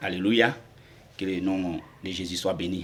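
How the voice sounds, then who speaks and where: A man is speaking. His pitch is very deep and low. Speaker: convert giving testimony. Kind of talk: testimony. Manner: halting.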